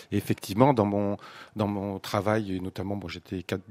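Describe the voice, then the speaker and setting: Recorded dry and close with no echo, a man with an ordinary speaking voice talks at a moderate pace and a fairly low pitch. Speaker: retired civil servant, parish team member. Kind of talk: radio round-table discussion.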